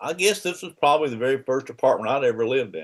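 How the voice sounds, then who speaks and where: A man speaks with a Southern US accent. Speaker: father of the host, Army veteran. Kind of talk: casual interview about his life. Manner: halting, many restarts.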